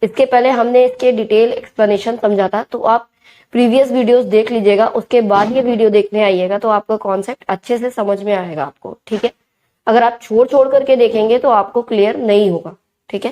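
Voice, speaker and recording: Dry and close with no echo, the recording captures a woman with a dark, mellow tone and fairly high pitch, talking at a fairly slow pace with fairly even intonation. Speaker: commerce teacher. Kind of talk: tutorial.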